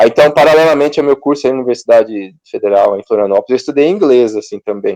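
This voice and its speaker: Speaking at a very fast pace, a man with a fairly high pitch and a dark, mellow tone shows ordinary pitch variation, captured in a dry, close sound with no echo. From Brazil, interior of Paraná. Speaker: control and automation engineer. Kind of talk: interview. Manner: casual, filler-heavy.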